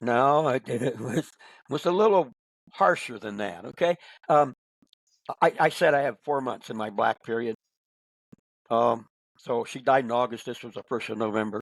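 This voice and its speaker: Speaking in a Midwestern American accent at a medium pitch, a man leaves long, frequent pauses, with big swings in loudness and a dry, close sound with no echo. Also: ordinary pitch variation, moderate pace. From Northern Indiana. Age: 80s+. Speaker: author and speaker. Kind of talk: podcast interview answer.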